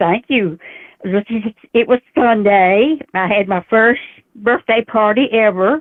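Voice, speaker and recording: In a Southern US accent, a woman talks at a fairly high pitch with ordinary pitch variation. Her pace is fairly slow, broken by long, frequent pauses. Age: 80s+. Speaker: caller. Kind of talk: casual chat.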